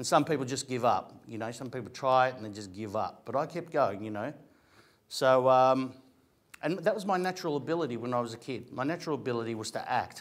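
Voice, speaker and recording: In an Australian accent, a man with a medium pitch talks at a very fast pace, animated and with lively intonation and big swings in loudness, on a very clean recording with a silent background. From Australia, Greek family. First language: Greek. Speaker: actor and comedian. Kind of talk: motivational talk to an audience. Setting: room with audience. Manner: conversational, animated.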